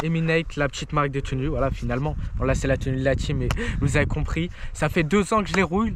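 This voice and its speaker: Very fast speech with ordinary pitch variation, under noticeable background noise. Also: man. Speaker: mountain bike vlogger. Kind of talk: casual vlog chat. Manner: animated; loud.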